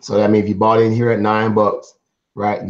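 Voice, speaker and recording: Flat, monotone intonation marks this recording. The man's pitch is fairly low. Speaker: stock trading mentor. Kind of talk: live-streamed trading lesson. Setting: live stream. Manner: casual, repetitive explaining.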